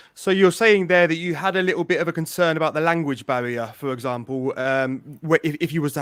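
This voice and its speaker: A man with an English accent talks at a fairly quick pace with hardly any pauses, his voice fairly high-pitched. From England. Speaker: podcast host. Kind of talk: interview.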